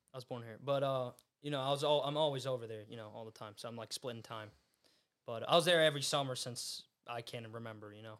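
A man with an American accent, very fast in pace, his intonation fairly even. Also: medium pitch for a man, big swings in loudness. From US. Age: young. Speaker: podcast host and fighter. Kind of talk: casual chat. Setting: studio.

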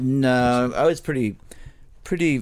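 A man speaks with a New York accent. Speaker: punk musician. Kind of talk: interview. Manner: casual, halting.

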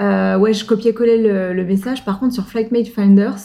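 A woman speaks at a medium pitch with fairly even intonation, and noticeable background noise runs underneath. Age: 30s. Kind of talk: casual chat.

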